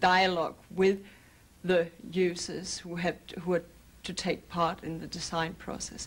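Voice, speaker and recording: A woman talks at a moderate pace. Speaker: computer scientist, project researcher. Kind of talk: explanatory documentary interview. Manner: halting, with fillers. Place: office.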